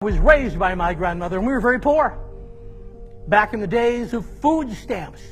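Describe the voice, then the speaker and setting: A man talks at a fairly quick pace in an extremely high pitch with ordinary pitch variation while music plays in the background. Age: 60s. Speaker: motivational speaker, war veteran. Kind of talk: motivational speech.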